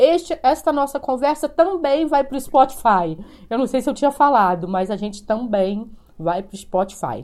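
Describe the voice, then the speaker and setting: A woman speaks at a high pitch in a dark, mellow tone. Her pitch swings very widely. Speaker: podcast host. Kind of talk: live-streamed interview. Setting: video call.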